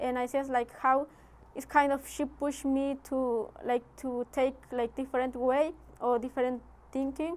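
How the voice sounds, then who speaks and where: A woman speaks at a high pitch and a fairly slow pace. Her intonation is monotone and flat. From Guatemala. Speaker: immigrant guest speaker. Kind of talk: Q&A after a talk. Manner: halting, many fillers.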